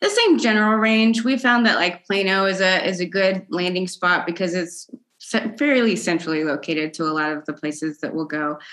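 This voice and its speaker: The speaker has an ordinary speaking voice and an American accent. Delivery is at a moderate pace with lively intonation. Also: woman, medium pitch for a woman. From Texas, Dallas suburbs. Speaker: percussion educator and composer. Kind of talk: casual interview chat. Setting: video call.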